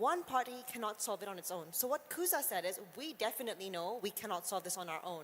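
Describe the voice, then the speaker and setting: A woman talks at a fairly quick pace with very wide pitch swings. Background noise is noticeable. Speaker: agri-tech startup executive. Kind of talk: panel discussion. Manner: fast.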